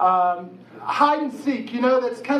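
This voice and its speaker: A man with an American accent speaks at an extremely high pitch, animated and with lively intonation. Noticeable background noise and audible room echo fill the recording. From West Virginia. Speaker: pastor. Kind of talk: sermon. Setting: church auditorium with audience.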